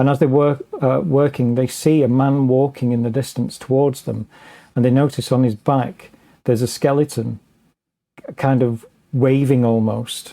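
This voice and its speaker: With an English accent, a man speaks at a moderate pace and medium pitch, his tone dark and mellow and his intonation fairly even. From England. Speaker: paranormal author and researcher. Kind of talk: podcast interview. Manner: halting, many fillers and restarts.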